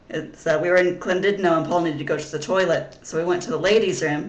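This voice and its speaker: Speech at a moderate speed competes with noticeable background noise. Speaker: vlogger. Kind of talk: casual vlog monologue. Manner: halting, many fillers and repeats.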